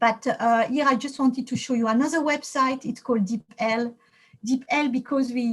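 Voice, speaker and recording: A woman with a French accent, a high pitch and a moderate pace. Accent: non-native English, French. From France. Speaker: computer science professor. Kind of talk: lecture. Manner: halting, many fillers.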